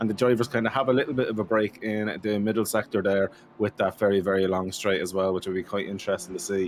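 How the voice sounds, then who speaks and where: Very fast speech comes from a man with an Irish accent and ordinary pitch variation. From Ireland. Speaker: sim racing commentator. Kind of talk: live commentary. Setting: live stream. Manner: animated.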